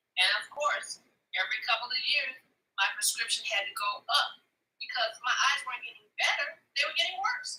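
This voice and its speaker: Speaking at a fairly quick pace, a woman uses a high pitch, very wide pitch swings and a bright, sharp tone. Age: 60s. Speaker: customer giving product testimonial. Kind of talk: live demonstration and testimony. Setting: live video stream.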